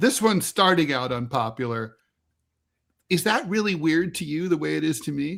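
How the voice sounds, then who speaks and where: With a normal speaking voice, a man talks at a fairly high pitch and moderate pace, his intonation lively. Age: 60s. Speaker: political podcast co-host, editorial cartoonist. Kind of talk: casual political discussion.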